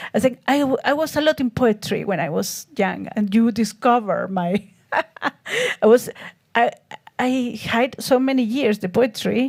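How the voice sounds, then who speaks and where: A woman with a Spanish accent talks at a fairly slow pace, leaving long, frequent pauses. Her voice is fairly high, with ordinary pitch variation. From Chile. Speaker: artist. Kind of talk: interview on stage. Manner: halting.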